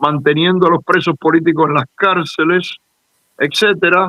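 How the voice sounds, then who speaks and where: Here a man speaks with a high pitch, fairly even intonation, and a moderate pace. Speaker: Cuban exile activist leader. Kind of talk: interview.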